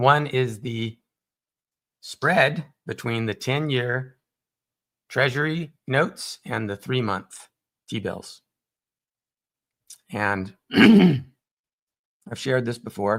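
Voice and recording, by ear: Putting on a hoarse character voice at medium pitch, a man speaks very slowly with long, frequent pauses.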